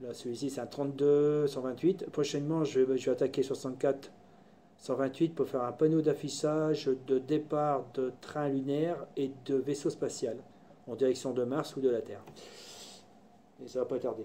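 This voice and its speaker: This man has a fairly high pitch and a dark, mellow tone, speaking in a monotone, flat way. His pace is moderate, broken by long, frequent pauses. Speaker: hobbyist maker / tutorial youtuber. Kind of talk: casual live tutorial. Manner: loud; halting, many fillers.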